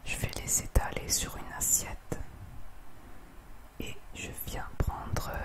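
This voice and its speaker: A woman is whispering. Her pace is very slow. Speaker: home cook. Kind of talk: ASMR cooking tutorial. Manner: whispered, soft-spoken. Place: kitchen.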